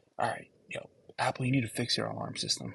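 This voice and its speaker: A fairly quick pace from a man. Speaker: forex trading content creator. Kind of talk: trading tutorial vlog. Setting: library. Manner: animated, fast; trying to keep voice down. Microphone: laptop mic.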